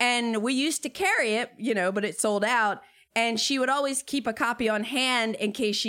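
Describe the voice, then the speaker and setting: A woman with a plain, everyday voice speaks at a moderate pace with ordinary pitch variation. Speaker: board game media creator. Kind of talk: casual chat. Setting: video call.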